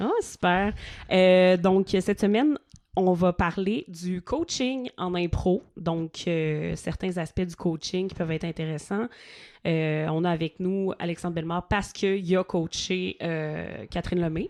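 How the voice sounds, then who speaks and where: A woman with a Quebec accent and fairly low pitch speaks at a fairly slow pace. The sound is dry and close with no echo, over a quiet background. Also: ordinary pitch variation. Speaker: podcast host. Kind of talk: casual chat.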